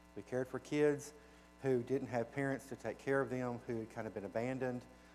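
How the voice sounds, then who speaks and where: A man speaks at a fairly quick pace with a Southern US accent. His intonation stays monotone and flat, with music playing in the background. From US South (Arkansas). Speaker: children's home director, guest speaker. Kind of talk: church presentation. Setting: church. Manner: casual, folksy.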